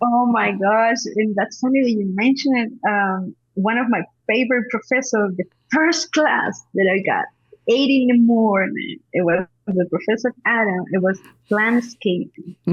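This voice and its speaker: Speaking with a Spanish accent, a woman uses a fairly high, somewhat breathy voice with ordinary pitch variation, very even loudness and a fairly slow pace. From Peru. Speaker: horticulturist and cannabis advocate. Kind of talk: interview conversation.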